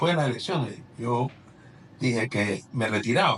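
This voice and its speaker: Somewhat breathy, a man at medium pitch talks at a fairly slow pace with ordinary pitch variation. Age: 60s. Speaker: politician. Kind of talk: interview.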